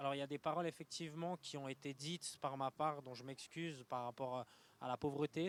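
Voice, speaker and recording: A man's fairly high voice at a moderate pace, with fairly even intonation and a dry, close sound free of echo. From Switzerland, Lausanne. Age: 20s. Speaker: young entrepreneur. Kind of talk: interview. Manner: halting, many fillers.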